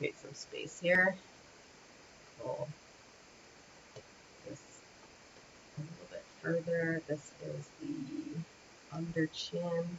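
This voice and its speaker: Noticeable background noise runs under a very slow delivery in an American accent, broken by long, frequent pauses. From Windsor, Ontario, Canada (near Detroit); Ontario. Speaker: animation rigging instructor. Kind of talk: livestream tutorial. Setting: livestream from parents' home. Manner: casual, thinking aloud. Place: home room.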